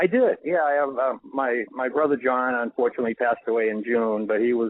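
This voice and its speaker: A man with a Boston accent at a fairly quick pace, with ordinary pitch variation. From Boston, Massachusetts (Dorchester). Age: 60s. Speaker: author. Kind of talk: radio interview. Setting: radio show.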